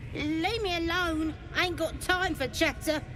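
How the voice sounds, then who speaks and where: An extremely high-pitched, put-on character voice is delivered in a Cockney accent. Loud background noise runs underneath. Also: moderate pace. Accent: rough Cockney-like. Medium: video game.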